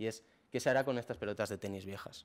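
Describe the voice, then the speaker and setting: A man rattles along at a very fast pace, his medium pitch moving with ordinary variation. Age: 20s. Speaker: young entrepreneur, startup founder. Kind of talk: talk to an audience. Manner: hesitant, many fillers. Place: hall. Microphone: podium.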